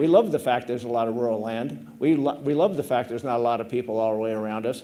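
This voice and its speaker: A man with a US Midwestern accent, medium pitch, lively intonation, and a very fast pace. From Nebraska, US Midwest. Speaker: government climate scientist. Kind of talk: conference presentation. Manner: casual, informal.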